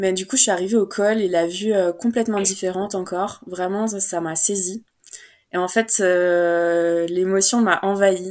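The woman's voice sits at a medium pitch with monotone, flat intonation. She speaks at a fairly slow pace. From Paris region, France. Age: 20s. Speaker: traveler sharing a meditation retreat experience. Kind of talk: casual interview, personal story.

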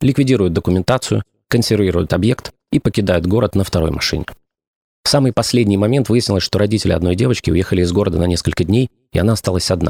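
Fairly low in pitch, a man speaks at a very fast pace with very even loudness. The recording is very clean, with a silent background. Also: dry, close sound with no echo. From Ukraine. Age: 40s. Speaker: podcast host, former radio and TV presenter. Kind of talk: scripted narration.

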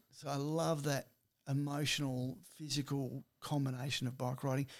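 A fairly high-pitched man with an Australian accent speaks at a moderate pace in a very clean recording with a silent background. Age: 60s. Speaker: personal trainer and health speaker. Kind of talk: casual chat.

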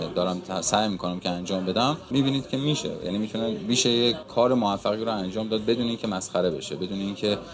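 Very fast speech with hardly any pauses and ordinary pitch variation over noticeable background noise. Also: man, fairly low pitch for a man. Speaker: musician and surgeon. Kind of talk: interview.

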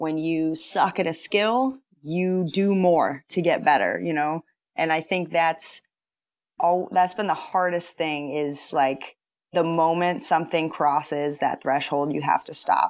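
A woman speaks at a moderate pace with a very deep, low pitch and ordinary pitch variation. The background is quiet. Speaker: pro softball player. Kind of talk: interview, personal story.

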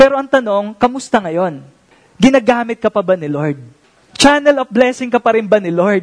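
Fairly quick and high-pitched, a man speaks with a Filipino accent. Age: 30s. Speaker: pastor. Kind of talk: sermon. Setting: church.

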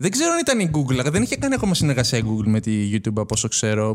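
The recording is very clean, its background silent. A man's voice sounds dry and close, without any echo. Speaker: esports tournament organizer. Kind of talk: casual chat. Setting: studio.

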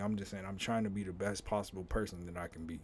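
A man speaks in an unremarkable speaking voice, fairly low in pitch, with fairly even intonation. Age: 30s. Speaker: podcast host. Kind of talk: casual monologue. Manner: conversational, repetitive.

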